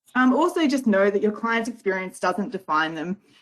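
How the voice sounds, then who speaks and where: Using ordinary pitch variation, a woman speaks at a very fast pace. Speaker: legal service worker. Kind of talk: webinar presentation. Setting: online webinar.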